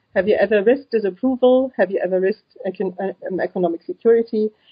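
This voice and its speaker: The intonation is lively. The voice is somewhat breathy. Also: woman. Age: 30s. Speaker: psychology student and single mother. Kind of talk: interview.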